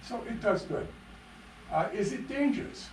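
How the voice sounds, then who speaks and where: A man with an American accent speaks at a moderate pace. The recording has audible room echo and noticeable background noise. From Upper Michigan, US. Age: 70s. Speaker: retired pathologist, public commenter. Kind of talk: public comment at council meeting. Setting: city council meeting. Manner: halting.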